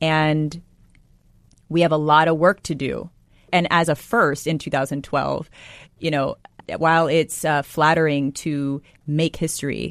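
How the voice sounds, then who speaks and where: Over a quiet background, a woman with a very deep, low pitch speaks at a fairly slow pace in a monotone, flat intonation. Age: 30s. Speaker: magazine editor and author. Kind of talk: interview.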